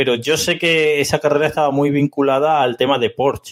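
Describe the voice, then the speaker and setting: Speaking at a fairly quick pace, a man with a fairly high pitch keeps his intonation monotone and flat. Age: 30s. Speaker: podcast co-host. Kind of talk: casual chat.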